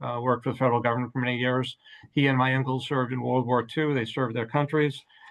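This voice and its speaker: An ordinary speaking voice belongs to this man with an American accent. His pitch is medium and his intonation fairly even. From Massachusetts, Watertown. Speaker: city council candidate. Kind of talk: political debate. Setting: video call.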